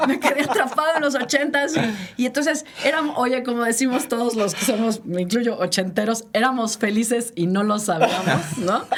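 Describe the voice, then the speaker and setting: Over noticeable background noise, a woman talks at a moderate pace with hardly any pauses, using lively intonation and a fairly high pitch. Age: 60s. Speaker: podcast co-host. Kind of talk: casual chat.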